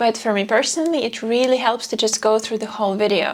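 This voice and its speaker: Against noticeable background noise, a woman speaks quietly at a fairly high pitch. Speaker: video creator. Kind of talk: talking-head vlog.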